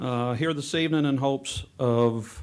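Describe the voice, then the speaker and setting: The voice belongs to a man. It has a medium pitch. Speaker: school maintenance official presenting to board. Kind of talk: answering board questions; board meeting presentation. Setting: school board meeting room. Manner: loud.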